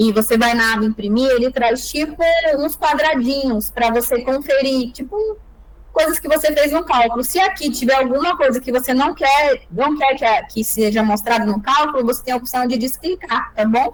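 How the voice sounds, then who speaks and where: A woman with a high pitch and ordinary pitch variation talks at a moderate pace. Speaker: lawyer teaching calculation software. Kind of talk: online tutorial.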